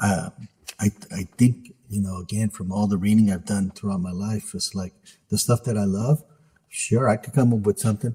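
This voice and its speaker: A man with an American accent speaks at a moderate pace, his pitch fairly low and varying in an ordinary way. His tone is dark, mellow and somewhat breathy, recorded dry and close with no echo. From US West Coast, San Francisco Bay Area. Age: 60s. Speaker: author. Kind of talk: interview.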